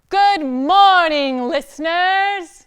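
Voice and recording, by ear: A woman's put-on character voice, extremely high in pitch, with ordinary pitch variation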